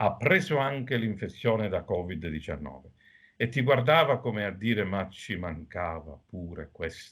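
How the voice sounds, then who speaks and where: A man speaks at a fairly low pitch. His voice makes very wide pitch swings. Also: fairly slow pace. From Sicily, Agrigento. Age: middle-aged. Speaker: doctor. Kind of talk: TV interview.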